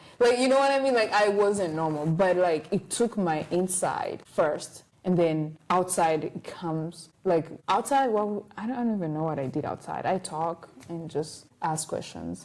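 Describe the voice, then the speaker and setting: In a non-native accent, a woman speaks with an animated tone, lively intonation and a fairly low pitch. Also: moderate pace, hardly any pauses. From Rwanda. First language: not English. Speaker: podcast host, college student. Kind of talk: casual chat. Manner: halting.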